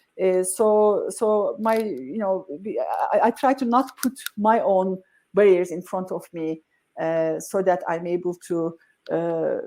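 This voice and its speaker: In a very clean recording with a silent background, a woman speaks at a medium pitch with a dark, mellow tone and ordinary pitch variation. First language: not English. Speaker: tech company CEO. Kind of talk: interview. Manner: halting, many fillers.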